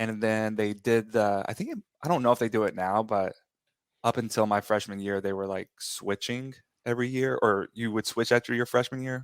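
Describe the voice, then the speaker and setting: Speaking at a fairly quick pace, a man uses a medium-pitched voice with fairly even intonation. The sound is dry and close with no echo, in a very clean recording with a silent background. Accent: American. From Texas Panhandle. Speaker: former college football player. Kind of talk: casual interview.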